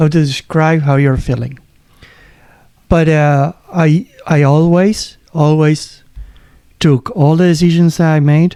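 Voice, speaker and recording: With a fairly high pitch and a dark, mellow tone, a man speaks fairly slowly with fairly even intonation, very even loudness, and long, frequent pauses. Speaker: runner with a heart condition. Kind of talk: casual chat. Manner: halting.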